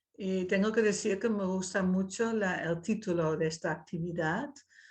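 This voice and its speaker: This woman speaks with a Dutch accent. Her pitch varies in an ordinary way. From Netherlands. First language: Dutch (speaking Spanish). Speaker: invited speaker, writer. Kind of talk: talk in an online dialogue session.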